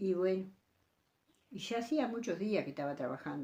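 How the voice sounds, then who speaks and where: With a Uruguayan accent, a woman of medium pitch talks in a dark, mellow tone with lively intonation. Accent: rural Uruguayan Spanish (rioplatense). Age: 80s+. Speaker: elderly rural woman recalling old times. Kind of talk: interview storytelling. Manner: halting, with many repetitions.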